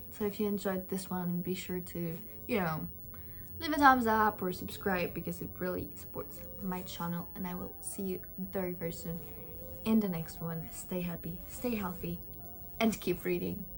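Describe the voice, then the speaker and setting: Music plays in the background as a woman speaks at a moderate pace in a medium pitch, with audible echo in the room. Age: 20s. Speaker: book youtuber. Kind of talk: casual chat. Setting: at home. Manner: loud; animated.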